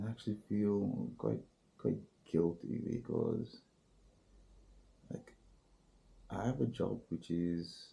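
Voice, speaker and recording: Very slow delivery in a dark, mellow tone with vocal fry, lively intonation and long, frequent pauses. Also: man, fairly low pitch for a man. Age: 40s. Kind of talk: casual talk to camera. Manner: hesitant, rambling.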